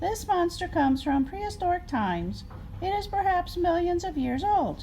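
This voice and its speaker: Put on as a character, the squeaky voice sits at an extremely high pitch and moves at a moderate pace against clear background noise. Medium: read story. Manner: earnest, lecturing.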